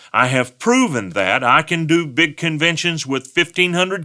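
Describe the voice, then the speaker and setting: With a Texan accent, a man talks in a fairly high pitch and lively intonation. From West Texas. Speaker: pastor. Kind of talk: talk on giving. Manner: folksy storytelling.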